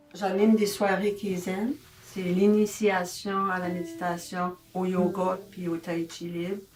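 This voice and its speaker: Very slow, monotone, flat speech in an Acadian accent over noticeable background noise. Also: woman, medium pitch for a woman. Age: 70s. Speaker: senior wellness ambassador, facilitator. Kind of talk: testimony. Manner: casual, with frequent hesitations.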